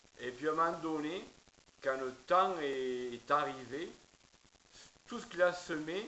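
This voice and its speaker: A man with a southern French accent speaks very slowly at a fairly high pitch. Audible room echo and noticeable background noise surround him. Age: 50s. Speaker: preacher. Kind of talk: testimony. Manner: halting, many hesitations.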